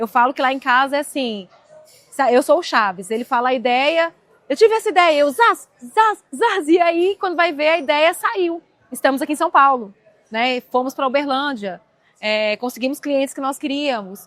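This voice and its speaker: Heard in a dry, close sound with no echo, a woman speaks at a moderate pace in a high pitch with very wide pitch swings. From Brazil, Minas Gerais (Cerrado Mineiro). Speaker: entrepreneur. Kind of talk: casual chat.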